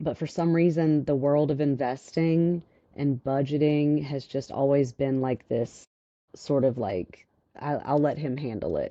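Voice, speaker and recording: A woman with a Louisiana accent speaks in a very deep, low pitch with ordinary pitch variation. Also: fairly slow pace. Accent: Southern (Louisiana) country. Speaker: financial advisor. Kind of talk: interview.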